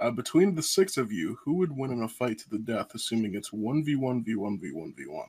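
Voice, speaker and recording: Talking at a fairly quick pace with hardly any pauses, a man of medium pitch makes very wide pitch swings and big swings in loudness. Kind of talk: casual chat.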